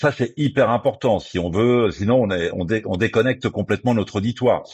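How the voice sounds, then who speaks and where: Fairly quick, lively speech from a man with a plain, everyday voice against a quiet background. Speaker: radio journalist and presenter. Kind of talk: interview.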